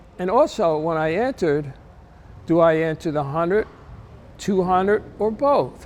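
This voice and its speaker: Speaking in a New Jersey accent, a man talks with a high pitch. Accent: New Jersey American. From US Northeast, New Jersey. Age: 70s. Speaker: masters sprinter. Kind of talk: interview testimony. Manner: halting, many fillers.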